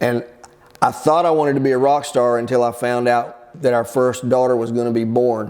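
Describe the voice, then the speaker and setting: A man with an American accent and a plain, everyday voice, medium in pitch, with fairly even intonation at a moderate pace. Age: 60s. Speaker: pastor. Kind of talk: casual teaching talk. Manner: conversational.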